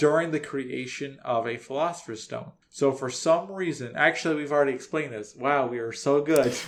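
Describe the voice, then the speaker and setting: A plain, everyday voice from a man, fairly high in pitch with ordinary pitch variation, at a fairly quick pace with hardly any pauses. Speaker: podcaster. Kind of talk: casual, explaining anime lore.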